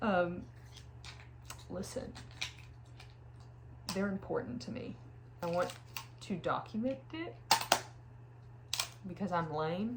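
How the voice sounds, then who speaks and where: A woman talks at a very slow pace with a fairly low pitch and lively intonation. Long, frequent pauses break up her speech over noticeable background noise. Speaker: film photographer. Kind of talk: casual vlog talk to camera. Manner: whispered.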